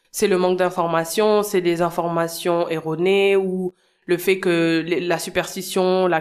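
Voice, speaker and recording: With monotone, flat intonation, a woman speaks slowly-ish, at a fairly slow pace and a fairly low pitch. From Senegal. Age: 30s. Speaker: founder of a parenting platform, mother. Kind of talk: casual interview. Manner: hesitant, many fillers.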